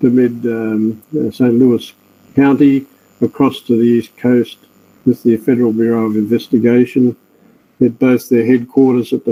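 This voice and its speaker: A man with an Australian accent talks at a moderate pace in a medium pitch, his tone dark and mellow and his intonation monotone and flat. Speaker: forensic scientist. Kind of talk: webinar lecture.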